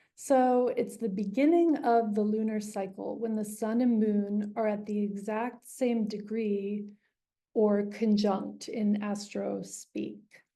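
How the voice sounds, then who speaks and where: A woman speaks at a very slow pace, her fairly high pitch holding a dark, mellow tone. Her intonation is fairly even, and audible room echo surrounds the voice. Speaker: astrologer. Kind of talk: online presentation to a group. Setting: video call.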